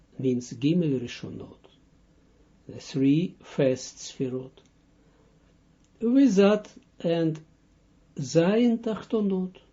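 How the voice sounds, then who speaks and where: A man with a Russian accent speaks at a very slow pace and high pitch, leaving long, frequent pauses. His pitch swings very widely, and his loudness swings a lot too. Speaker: Kabbalah teacher. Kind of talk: lecture. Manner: halting.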